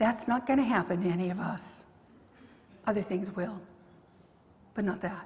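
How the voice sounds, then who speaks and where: A woman speaks in a somewhat breathy voice with ordinary pitch variation. Audible room echo surrounds her. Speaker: pastor. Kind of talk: sermon. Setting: church.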